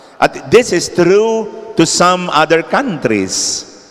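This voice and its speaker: With lively intonation, a man is talking. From Philippines. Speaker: preacher. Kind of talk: sermon, Tagalog-English mix, urgent homily on end times and spiritual battle. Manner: earnest, solemn, exhorting. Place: church. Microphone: handheld.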